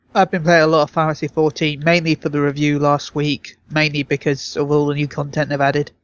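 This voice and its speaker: A man rattles along at a very fast pace with hardly any pauses, in a fairly high, flat monotone. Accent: British. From Britain. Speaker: podcast co-host. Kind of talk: casual chat.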